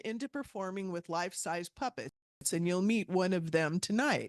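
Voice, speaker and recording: A woman's ordinary speaking voice at medium pitch, with lively intonation and a dry, close sound with no echo over a quiet background. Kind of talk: speaker introduction.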